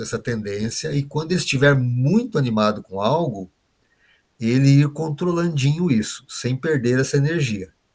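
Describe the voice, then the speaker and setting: Somewhat breathy delivery at a moderate pace, with ordinary pitch variation. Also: man. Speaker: trainer teaching behavioral profiles. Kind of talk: online workshop lecture.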